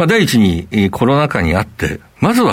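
In a very clean recording with a silent background, a man with a fairly low pitch speaks with very wide swings in pitch. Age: 50s. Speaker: company CEO. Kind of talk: interview. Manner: formal.

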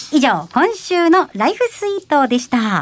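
A woman's voice swings very widely in pitch, recorded dry and close with no echo. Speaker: radio show assistant. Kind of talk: scripted announcements and reading listener mail.

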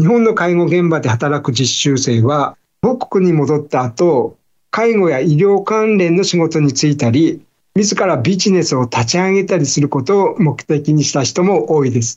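A man with an unremarkable speaking voice, fairly high in pitch, with lively intonation, a fairly slow pace and very even loudness. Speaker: newspaper bureau chief. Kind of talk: news explainer. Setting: video call. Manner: formal.

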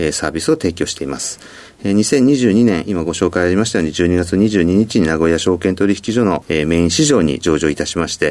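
A man speaks at a fairly quick pace in a very deep, low pitch. His pitch variation is ordinary. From Hokkaido, Sapporo. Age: 50s. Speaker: company president. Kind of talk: interview. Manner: frequent filler words.

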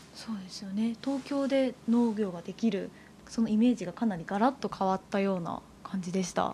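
The speaker is a woman with a fairly high pitch. Her voice sounds somewhat breathy. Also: ordinary pitch variation, moderate pace. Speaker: announcer and co-host. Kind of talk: interview. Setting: on location at a farm.

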